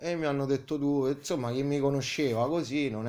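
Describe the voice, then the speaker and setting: A man keeps a fairly quick pace, his medium-pitched voice showing ordinary pitch variation. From Italy, Tivoli (Lazio). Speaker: sculptor and painter. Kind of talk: interview. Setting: artist's studio. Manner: halting, many hesitations.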